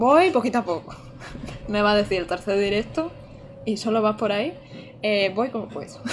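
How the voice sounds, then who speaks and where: Against light background noise, a woman speaks at a moderate pace in an animated tone with lively intonation and long, frequent pauses. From Andalusia, Almería; Andalusia, Spain. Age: 20s. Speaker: gaming streamer. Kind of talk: live gameplay commentary. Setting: home streaming setup. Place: home room.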